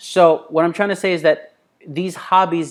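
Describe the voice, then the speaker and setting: At a fairly slow pace, a man with a non-native accent speaks in an animated tone. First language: not English. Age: adult. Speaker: business coach. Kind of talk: online course lecture. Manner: casual, animated.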